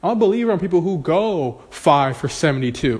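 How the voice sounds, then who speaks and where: A man's animated voice with lively intonation. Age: 20s. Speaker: podcast host and real estate agent. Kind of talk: motivational monologue.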